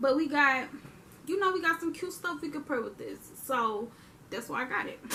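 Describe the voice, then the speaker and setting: A raised, projected voice with lively intonation. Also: woman. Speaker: youtuber. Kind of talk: haul video monologue. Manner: animated.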